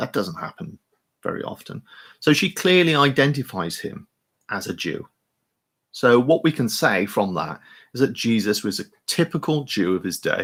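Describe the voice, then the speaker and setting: At a moderate pace and medium pitch, a man speaks with vocal fry and long, frequent pauses. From England, Hereford. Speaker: vicar. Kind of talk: online talk on the Bible. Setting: webinar. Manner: halting, many fillers and repetitions.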